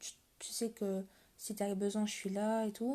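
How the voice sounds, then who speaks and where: Here is a woman with a fairly high pitch. Her tone is dark and mellow. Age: 20s. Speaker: livestreamer talking to viewers. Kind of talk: casual live-stream confession to viewers. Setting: live stream at 1 a.m. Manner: halting, hesitant.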